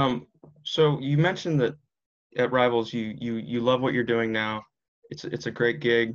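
At a moderate pace and medium pitch, a man talks with an American accent in a plain, everyday voice. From Washington DC area. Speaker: podcast host. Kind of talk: interview; scripted outro.

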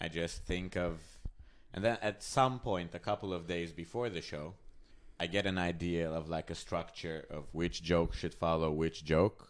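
This man has a very deep, low voice. He speaks with a Hungarian accent. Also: ordinary pitch variation, moderate pace, very clean recording, silent background. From Hungary. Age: 20s. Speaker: comedian. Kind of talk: casual chat.

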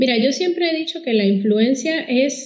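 A woman speaks in a Puerto Rican accent. Her pace is moderate. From Puerto Rico. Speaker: communications consultant. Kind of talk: podcast interview.

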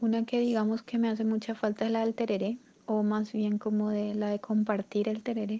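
Speaking at a fairly quick pace with a slight Paraguayan accent, a woman has a dark, mellow tone, a fairly high pitch, very even loudness and monotone, flat intonation. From Paraguay, Asunción. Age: 20s. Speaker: migrant sharing her story. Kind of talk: personal testimony interview. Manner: halting, repeats words.

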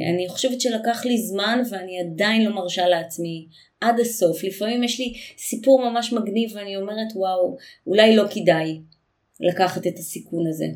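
The voice has audible room echo, a usual amount of pitch movement, and a moderate speed. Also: woman, medium pitch for a woman. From Israel. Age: 40s. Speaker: intercultural communication consultant. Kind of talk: interview.

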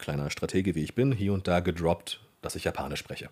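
The very clean recording has a silent background. Speech moves at a moderate pace with ordinary pitch variation. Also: man. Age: 30s. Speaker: voice actor and dubbing director. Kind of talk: casual interview.

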